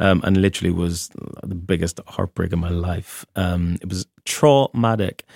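Speaking with a very deep, low pitch, a man keeps to a moderate pace. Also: ordinary pitch variation. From Northern Ireland, between Moira and Lisburn. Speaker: drag performer. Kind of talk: casual chat.

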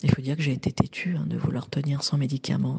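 A woman's somewhat breathy voice, very deep and low in pitch, with a dark, mellow tone. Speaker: woman giving a menopause testimony. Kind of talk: testimony. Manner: halting.

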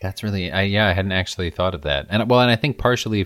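Words come out very fast. The background is silent and the recording very clean. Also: man. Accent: Midwestern. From US Midwest. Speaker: podcast co-host. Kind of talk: casual chat. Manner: clear enunciation.

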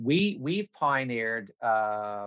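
A man speaks in a Newfoundland accent. The sound is dry and close, with no echo. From Newfoundland, Canada (North River, near St. John's). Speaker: remote sensing executive. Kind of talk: interview. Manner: halting.

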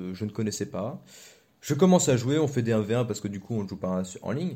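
Lively intonation from a man with a dark, mellow tone. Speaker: podcast co-host. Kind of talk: casual chat.

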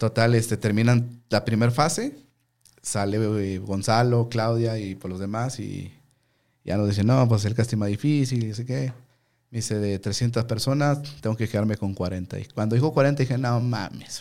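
Over a very clean recording with a silent background, a man with a dark, mellow tone speaks at medium pitch, fairly slowly and with fairly even intonation. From Mexico, Ciudad Juárez, Chihuahua. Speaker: sports commentator.

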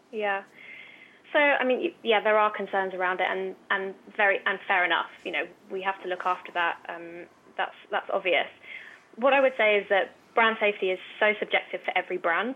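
A woman with an ordinary speaking voice talks at a medium pitch. Her pace is moderate and her pitch varies in an ordinary way. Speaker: influencer talent agency head. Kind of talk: interview.

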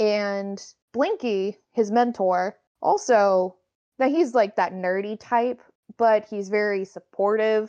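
Against a quiet background, a woman with a dark, mellow tone and medium pitch talks at a very slow pace with fairly even intonation. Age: 20s. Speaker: fan and craft maker. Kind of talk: casual chat.

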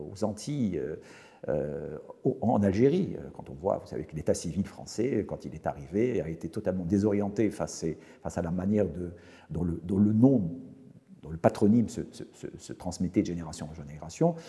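The speaker has a dark, mellow tone and lively intonation, moving at a moderate pace with big swings in loudness. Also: man, very deep, low pitch for a man. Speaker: professor. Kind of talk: interview. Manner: halting.

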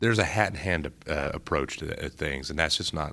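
With an American accent and a very deep, low pitch, a man speaks at a moderate pace with ordinary pitch variation. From Ohio, US Midwest. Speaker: think-tank policy analyst. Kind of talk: interview. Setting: conference.

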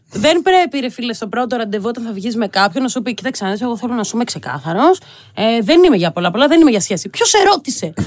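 The pace is very fast. Pitch swings very widely. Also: woman, fairly high pitch for a woman. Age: 30s. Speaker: youth astrologer. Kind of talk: casual chat.

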